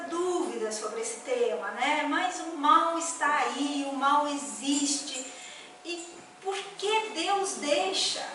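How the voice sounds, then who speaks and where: A woman with a high pitch speaks very slowly in a raised, projected voice, her intonation lively and her loudness swinging widely. Room echo is audible. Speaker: spiritist lecturer. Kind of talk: lecture. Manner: conversational, hesitant.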